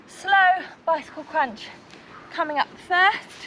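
A woman's raised, projected voice at a fairly slow pace, with ordinary pitch variation over light background noise. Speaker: fitness instructor. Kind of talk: workout instruction. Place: garden.

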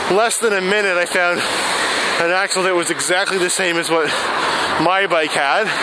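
The sound is dry with no echo, but loud background noise runs throughout. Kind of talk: casual vlog chat. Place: bicycle.

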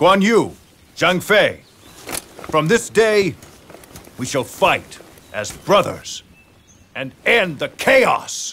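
Using a put-on character voice, a man speaks very slowly with long, frequent pauses, his fairly high, fairly bright pitch moving in big swings with a slightly husky edge.

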